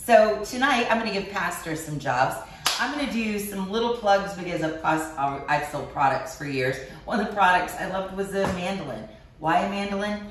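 Recorded with some audible reverb from the room and a noticeable layer of background noise, a woman talks at an unhurried, middling pace. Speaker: cooking show host. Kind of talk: cooking tutorial chat. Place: kitchen. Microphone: camera far.

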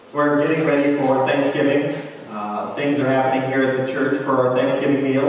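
A man at a moderate pace, with strong room echo and light background noise. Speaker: preacher. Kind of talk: sermon. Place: church. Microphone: camera far.

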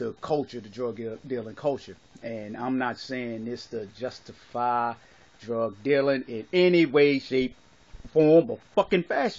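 A man at a fairly slow pace, with ordinary pitch variation and big swings in loudness. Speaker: vlogger giving his opinion. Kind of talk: casual vlog chat. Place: home room. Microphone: phone near.

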